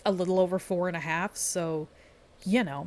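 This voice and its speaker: A woman speaks at a moderate pace. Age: 20s. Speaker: gaming video creator. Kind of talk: casual commentary monologue. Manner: rambling, filler-heavy unscripted talk.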